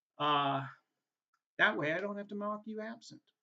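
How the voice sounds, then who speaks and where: This man's high voice carries lively intonation and a New England accent. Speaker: adjunct professor. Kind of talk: course welcome video. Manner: casual, halting with many fillers.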